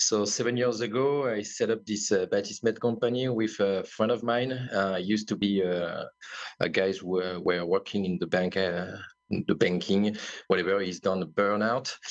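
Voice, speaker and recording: The speaker has a French accent. Intonation stays fairly even. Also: man, fairly low pitch for a man. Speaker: wellness company founder. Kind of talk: podcast interview. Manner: slow; halting.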